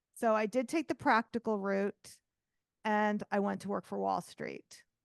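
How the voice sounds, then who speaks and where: A woman's medium-pitched voice with an American accent at a fairly slow pace, dry and close with no echo, over a quiet background. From New York. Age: 50s. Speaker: artist and art business coach. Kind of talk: interview.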